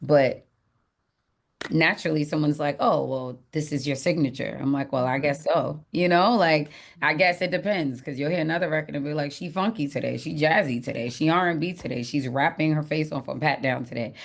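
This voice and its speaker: Against a quiet background, a woman talks fairly quickly in a very deep, low pitch with ordinary pitch variation. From Jamaica. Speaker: singer-songwriter. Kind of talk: interview. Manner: casual, animated.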